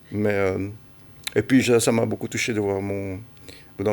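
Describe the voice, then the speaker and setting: A man speaks at a moderate pace with fairly even intonation. His pitch is fairly low. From Belgium, Brussels. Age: 60s. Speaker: football recruiter. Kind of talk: interview. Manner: halting.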